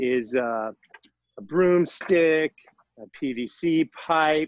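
The background stays quiet. A man speaks very slowly. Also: dry sound with no echo. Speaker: fitness instructor. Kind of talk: casual class introduction. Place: garden.

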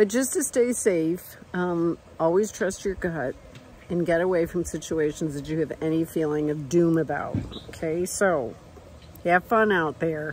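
At a fairly slow pace, a woman speaks with a fairly low pitch and ordinary pitch variation over light background noise. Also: dry sound with no echo. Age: 60s. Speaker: travel vlogger. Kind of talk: casual vlog monologue. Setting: outdoors at a hot springs campsite. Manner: casual, chatty with laughs. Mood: animated, storytelling, emphatic. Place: open country. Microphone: phone near.

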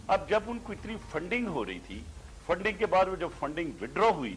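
Light background noise sits beneath a man whose intonation is lively. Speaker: interview guest, politician. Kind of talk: interview answer. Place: studio.

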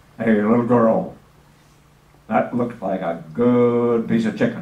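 With slight echo, a man uses a put-on character voice at medium pitch, growling at a fairly slow pace. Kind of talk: anecdotal public talk. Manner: playful, growling.

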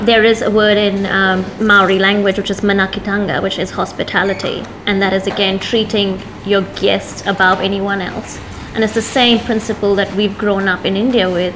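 Amid noticeable background noise, a woman speaks with monotone, flat intonation. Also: moderate pace. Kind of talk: interview answer. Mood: warm, proud. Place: cafe. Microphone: lapel.

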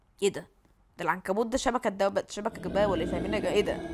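A woman with an Egyptian accent talks at a very fast pace in an animated tone, her medium pitch showing ordinary pitch variation. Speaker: gaming YouTuber. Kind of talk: live gameplay commentary.

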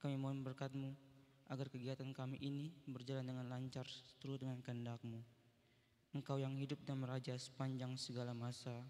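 Fairly quick, monotone speech from a man, flat in intonation, with a dark, mellow tone and very even loudness. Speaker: seminarian student. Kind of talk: prayer. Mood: reverent, quiet. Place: hall. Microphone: handheld.

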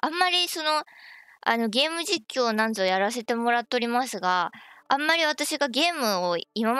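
A woman talks at a moderate pace, faint music in the background and the sound dry with no echo. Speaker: game streamer. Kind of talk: casual live stream chat. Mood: excited, cheerful. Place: home room.

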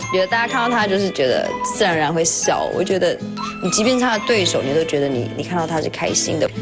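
The speech moves at a very fast pace. Clear music plays in the background. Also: woman. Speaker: singing show contestant. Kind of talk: interview answer. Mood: warm, fond. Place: studio.

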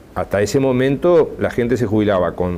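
A dark, mellow tone in a man's voice. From Uruguay. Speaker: social security agency head. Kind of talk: TV interview. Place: studio. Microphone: lapel.

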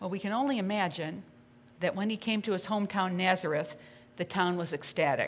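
Ordinary pitch variation from a woman talking at a fairly quick pace. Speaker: pastor. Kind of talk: sermon. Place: church. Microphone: podium.

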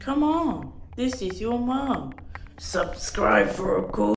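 A put-on character voice that sounds female speaks at a very slow pace.

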